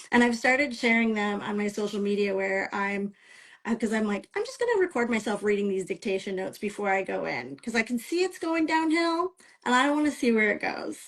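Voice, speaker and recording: Speaking in a Midwestern American accent, a woman's fairly high voice is somewhat breathy. She moves at a fairly quick pace with lively intonation. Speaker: romance author. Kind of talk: interview. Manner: casual, with many fillers.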